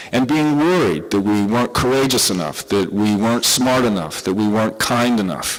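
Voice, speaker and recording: Room echo is audible as a man talks at a fairly quick pace. His intonation is lively. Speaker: psychiatrist giving a conference talk. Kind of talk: lecture. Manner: animated.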